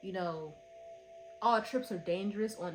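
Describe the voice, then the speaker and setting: A woman with an animated tone over noticeable background noise. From Philadelphia, US. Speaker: book reviewer. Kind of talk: casual review monologue.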